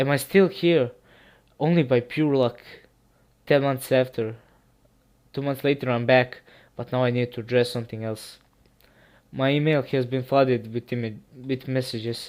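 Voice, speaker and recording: A man with a Serbian accent speaks at medium pitch and a moderate pace, with fairly even intonation. His long, frequent pauses come through on a very clean recording with a silent background. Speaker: creepypasta narrator. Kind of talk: casual chat; reading aloud. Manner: halting.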